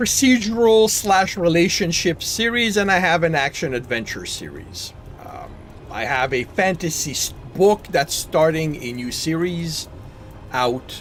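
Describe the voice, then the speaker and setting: A man speaks with a French Canadian accent at a fairly slow pace, his pitch high with very wide swings. Loudness jumps a lot, and background noise is noticeable. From Quebec. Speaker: gaming streamer and novelist. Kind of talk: casual gameplay chat. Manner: halting.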